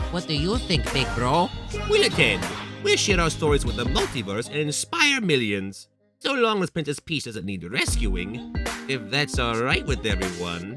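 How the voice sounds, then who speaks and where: Over faint music in the background, a man does a cartoonish character voice at a medium pitch and a moderate pace. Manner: earnest, a bit nervous.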